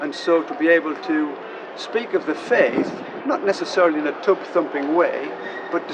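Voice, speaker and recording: A man with a County Durham accent speaks at a moderate pace in a high pitch. Audible room echo and noticeable background noise come through. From northern England, County Durham. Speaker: Methodist minister, church district leader. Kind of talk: interview.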